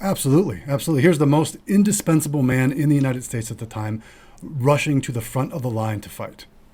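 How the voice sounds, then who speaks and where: Somewhat breathy and dark, mellow in tone, a man talks at a fairly high pitch with lively intonation. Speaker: financial advisor and podcast host. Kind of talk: casual chat. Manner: mumbles and trips over words when not slowing down.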